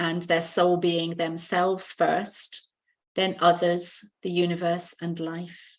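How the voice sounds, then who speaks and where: With a British accent, a woman speaks at a very slow pace and a fairly low pitch. The background is quiet. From UK. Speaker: healer and mentor. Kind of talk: podcast interview.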